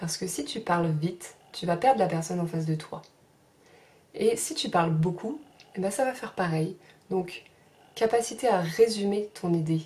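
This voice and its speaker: Soft-spoken and somewhat breathy, a woman with a medium-pitched, dark, mellow voice speaks at a moderate pace with lively intonation and long, frequent pauses. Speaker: sophrology trainee and vlogger. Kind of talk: advice vlog.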